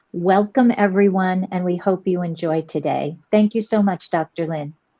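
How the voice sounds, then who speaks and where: Speaking at a moderate pace with an American accent, a woman uses a normal speaking voice at a medium pitch with ordinary pitch variation. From US, Miami, Florida. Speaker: educational technology specialist, retired teacher. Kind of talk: self-introduction.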